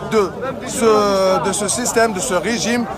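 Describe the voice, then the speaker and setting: Crowd noise and audible room echo surround a man speaking in a high voice with fairly even intonation. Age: 20s. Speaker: university student at a protest. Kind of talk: street interview. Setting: outdoors at a street demonstration. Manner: halting.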